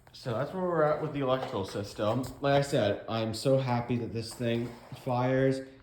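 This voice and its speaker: A man of medium pitch at a fairly slow pace, with ordinary pitch variation, noticeable background noise and audible room echo. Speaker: garage restoration vlogger. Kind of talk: casual vlog narration. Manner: halting, stumbling over words.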